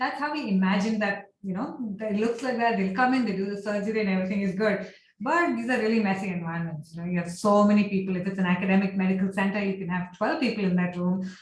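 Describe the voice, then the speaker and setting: Speech at a very fast pace with ordinary pitch variation carries audible room echo. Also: woman. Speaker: architecture and healthcare design researcher. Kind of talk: lecture. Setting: video call.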